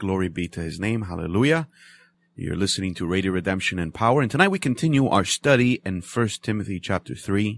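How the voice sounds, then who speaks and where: With a normal speaking voice, a man talks at a fairly quick pace in a fairly low pitch with lively intonation, and the recording is very clean with a silent background and a dry, close sound with no echo. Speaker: radio preacher. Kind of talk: bible study teaching. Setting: radio studio.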